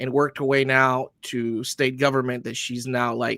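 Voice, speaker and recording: In a very clean recording with a silent background and a dry, close sound with no echo, a man talks at a fairly quick pace in a fairly high-pitched voice with a bright, sharp tone. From Honduras. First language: Spanish. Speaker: army veteran, tactical training business founder. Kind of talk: interview.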